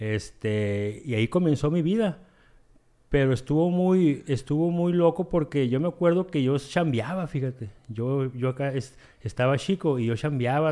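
A man speaks at a fairly slow pace in a dark, mellow tone. The recording is very clean with a silent background. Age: 40s. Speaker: recovering addict in AA. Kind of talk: testimony.

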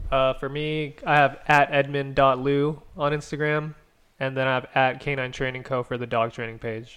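At a moderate pace, a man with a fairly high pitch talks in a flat, monotone way. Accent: American. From Chinese family, California. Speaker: dog trainer and videographer. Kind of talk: casual chat.

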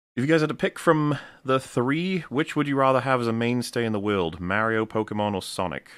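Speaking at a fairly quick pace, a man with a medium-pitched voice sounds animated, his intonation lively, on a very clean recording with a silent background. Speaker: podcast host. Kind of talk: casual chat. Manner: animated, joking.

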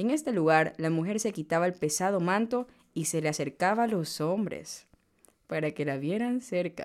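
A woman with an unremarkable speaking voice talks at a moderate pace with lively intonation and a fairly low pitch. The recording is very clean, with a silent background. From Ecuador, Manabí coast. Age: 20s. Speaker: podcast host, economist. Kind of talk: reading aloud a legend. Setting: studio.

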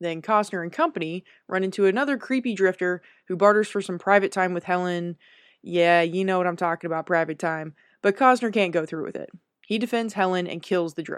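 A woman's normal speaking voice, medium in pitch, with ordinary pitch variation and a fairly quick pace, dry and close with no echo over a quiet background. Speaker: segment presenter recapping the film. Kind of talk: scripted summary segment.

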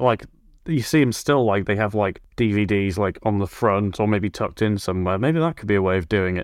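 Fairly quick, fairly low-pitched speech from a man with ordinary pitch variation and an unremarkable speaking voice. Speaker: podcast host. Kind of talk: casual interview.

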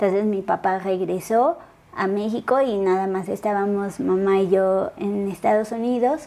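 The speaker's tone is dark and mellow. She is a woman with a medium pitch. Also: ordinary pitch variation, fairly slow pace. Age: 30s. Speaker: athlete with a spinal cord injury. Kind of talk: interview, personal testimony. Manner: hesitant, many fillers.

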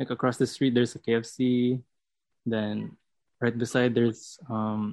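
The delivery is fairly slow and monotone, with flat intonation and a Visayan Filipino accent. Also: man, medium pitch for a man. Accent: Filipino (Cebuano) English. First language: Cebuano. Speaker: student podcast co-host. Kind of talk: casual chat.

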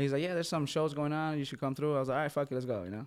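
The recording is very clean, with a silent background. A man with an American accent speaks at a fairly high pitch with ordinary pitch variation. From Minnesota. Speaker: EDM event promoter. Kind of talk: casual chat.

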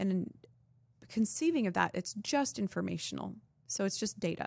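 A woman with a General American accent, medium pitch, moderate pace and vocal fry. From Arizona. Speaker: acupuncturist. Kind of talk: interview.

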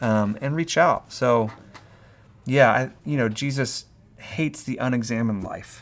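This man has an unremarkable speaking voice at medium pitch. He talks at a fairly slow pace with ordinary pitch variation. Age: 30s. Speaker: pastor. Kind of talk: casual chat.

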